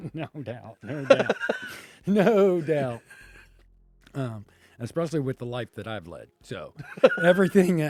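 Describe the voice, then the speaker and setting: Music plays behind a man with a fairly high pitch, very wide pitch swings and big swings in loudness. He talks at a fairly slow pace with long, frequent pauses, in a dry, close sound with no echo. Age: 60s. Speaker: comedian. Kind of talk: casual chat.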